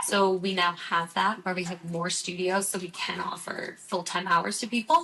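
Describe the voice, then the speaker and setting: Over noticeable background noise, a woman talks at a moderate pace in a medium pitch, with fairly even intonation and hardly any pauses. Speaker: Pilates instructor and studio manager. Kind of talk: casual chat.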